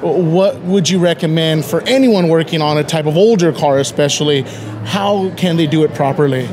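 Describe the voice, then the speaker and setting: The voice keeps a moderate pace, ordinary pitch variation and very even loudness, with noticeable background noise. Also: man, fairly high pitch for a man. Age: 30s. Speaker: interviewer. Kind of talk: casual interview.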